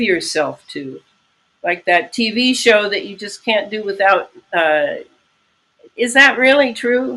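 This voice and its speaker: Bright and sharp in tone, a woman's fairly high voice moves at a very slow pace with lively intonation. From US, raised among Eastern European immigrants. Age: 70s. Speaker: author and conspiracy researcher. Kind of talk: interview. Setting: video call on laptop.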